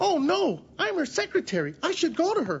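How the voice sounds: A cartoonish character voice with a high pitch jumps through very wide pitch swings. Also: moderate pace.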